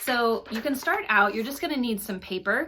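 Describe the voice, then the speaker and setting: A woman talks at a fairly high pitch with lively intonation. Noticeable background noise runs behind her. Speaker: children's book author and teacher. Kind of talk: tutorial. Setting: video at home.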